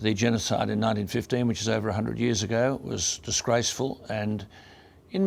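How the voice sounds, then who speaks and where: A man speaks with an Australian accent at a medium pitch, with vocal fry in his voice. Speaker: radio broadcaster. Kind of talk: award acceptance speech.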